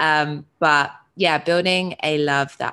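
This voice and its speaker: A woman with a British accent speaks in a very deep, low voice with a bright, sharp tone. Her intonation stays monotone and flat, and the very clean recording has a silent background. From UK. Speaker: identity coach. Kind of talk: casual interview.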